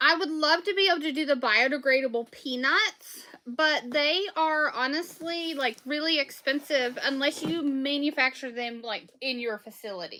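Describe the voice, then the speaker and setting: A woman with a strong Southern US accent projects her high-pitched voice, with ordinary pitch variation. She talks at a moderate pace with hardly any pauses. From Southwest Virginia. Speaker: small business owner selling soaps and candles. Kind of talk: casual livestream chat while packing orders.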